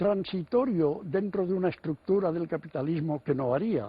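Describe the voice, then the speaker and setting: This man's voice is high. He speaks with lively intonation. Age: 80s+. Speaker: writer and economist. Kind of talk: TV interview answer.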